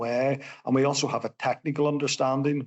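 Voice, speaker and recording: A man speaks at a moderate pace with a Northern Irish accent. His pitch sits in the medium range. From Northern Ireland. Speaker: civil engineer. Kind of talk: podcast interview.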